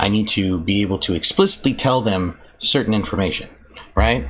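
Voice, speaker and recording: Against noticeable background noise, a man with an American accent and a fairly low pitch speaks at a fairly quick pace. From South Texas. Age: 30s. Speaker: gaming streamer. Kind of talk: casual live-stream chat. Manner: halting, repetitive.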